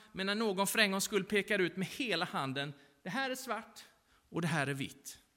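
The reading voice sounds natural and rises and falls with lively intonation.

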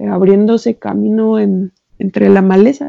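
A woman's voice carries a dark, mellow tone with ordinary pitch variation. The sound is dry and close, with no echo. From Mexico, Xalapa, Veracruz. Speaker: novelist. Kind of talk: interview.

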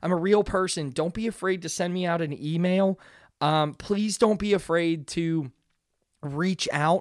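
Very clean and silent in the background, the recording carries an American accent at a fairly slow pace. The tone is animated. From Pittsburgh, Pennsylvania, US. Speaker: podcast host. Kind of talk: casual solo monologue. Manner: animated, rambling with many fillers.

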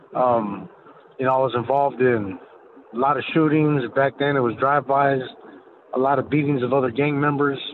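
Against noticeable background noise, a man with an American accent talks at a fairly quick pace in a fairly high pitch. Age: 40s. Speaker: former cartel member. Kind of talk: testimony. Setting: phone call.

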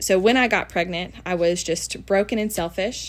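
A woman speaks with a Southern US accent at a medium pitch and a moderate pace. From Tennessee, US South. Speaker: guest sharing her testimony. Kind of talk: testimony. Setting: recording in person with host.

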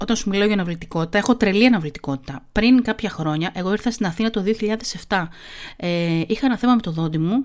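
A woman at a fairly high pitch, with an animated tone and lively intonation. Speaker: podcast host. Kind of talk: casual monologue with article reading. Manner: fast.

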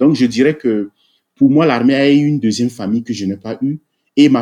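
Here a man talks at a fairly quick pace. His medium-pitched voice has a dark, mellow tone. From Togo. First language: Togolese local language (speaking French). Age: 40s. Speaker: army officer and IT engineer. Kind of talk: interview.

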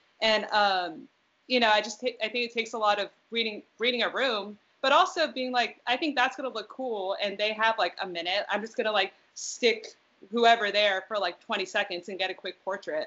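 A woman speaks at a moderate pace with an American accent. Hers is a normal speaking voice, fairly high in pitch. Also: ordinary pitch variation. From US West Coast. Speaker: music photographer. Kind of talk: casual chat.

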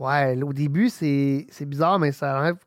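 A man is captured on a very clean recording with a silent background, the sound dry and close with no echo. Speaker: homebrewing podcast host. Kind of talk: casual chat.

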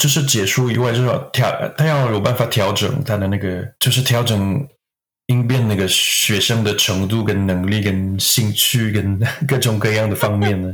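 A somewhat breathy man with a French accent talks at a moderate pace in a fairly low voice, his loudness very even and his intonation fairly even. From Quebec, Canada. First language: French (speaking Chinese). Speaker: acupuncturist. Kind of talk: interview. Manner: halting.

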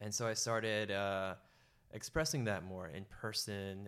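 Speaking at a moderate pace with an American accent, a man has an unremarkable speaking voice, fairly low in pitch, with ordinary pitch variation. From San Francisco Bay Area, US. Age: 30s. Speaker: retreat organizer, former banker. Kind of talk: casual interview.

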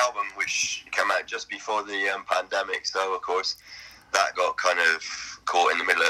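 Here a man speaks with a British accent. His pace is moderate. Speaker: blues rock guitarist. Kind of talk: interview.

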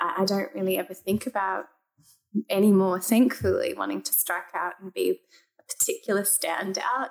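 A woman speaks with an Australian accent. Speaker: human rights lawyer. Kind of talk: casual chat.

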